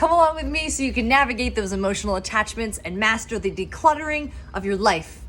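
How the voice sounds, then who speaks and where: A woman speaks at a fairly quick pace with lively intonation and a fairly high pitch. Music plays in the background. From Pennsylvania, Philadelphia area. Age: 30s. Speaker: professional organizer. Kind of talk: short educational talk.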